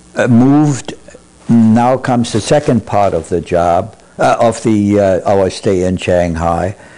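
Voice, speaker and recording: Over noticeable background noise, a man speaks fairly slowly at a fairly low pitch, with ordinary pitch variation and very even loudness. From Germany, Berlin. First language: German. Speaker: Holocaust survivor. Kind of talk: oral history interview. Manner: halting, many fillers.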